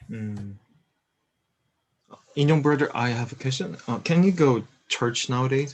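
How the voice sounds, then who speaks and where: A man speaks with long, frequent pauses. His intonation is lively. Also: medium pitch for a man, fairly slow pace. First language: Korean. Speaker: student presenter. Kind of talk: casual discussion.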